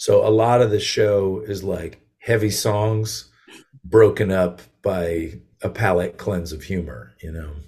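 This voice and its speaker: Speaking at a fairly slow pace, a man with an American accent has a fairly low, somewhat breathy voice with a dark, mellow tone, ordinary pitch variation and big swings in loudness. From Connecticut and western Massachusetts, US. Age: 40s. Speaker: singer-songwriter. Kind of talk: casual interview.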